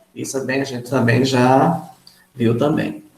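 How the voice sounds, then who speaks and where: A man talks, and his voice carries audible room echo. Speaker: chemistry teacher. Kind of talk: lecture.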